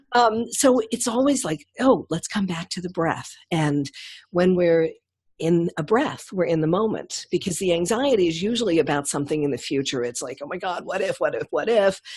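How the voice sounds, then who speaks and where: Her pitch is fairly low and swings very widely as the woman speaks at a moderate pace. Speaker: women's leadership coach and hypnotist. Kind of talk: casual interview. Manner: calm; graceful, smooth.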